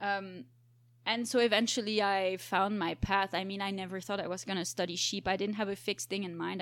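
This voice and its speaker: A woman with a plain, everyday voice talks at a fairly quick pace and medium pitch, her intonation fairly even, on a very clean recording with a silent background. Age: 20s. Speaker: biologist. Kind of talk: casual chat.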